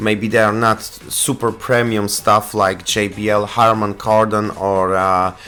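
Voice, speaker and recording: With music playing in the background, a man talks at a fairly low pitch and with fairly even intonation. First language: Polish. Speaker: tech reviewer. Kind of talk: product review. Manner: halting.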